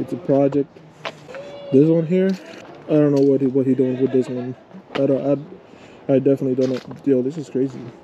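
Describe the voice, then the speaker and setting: A man at a fairly quick pace with fairly even intonation, a dry sound with no echo and light background noise. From New Jersey (Paterson); New Jersey. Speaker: car vlogger; vlogger. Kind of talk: casual vlog chat. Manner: casual, repetitive and halting. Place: street. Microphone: phone near.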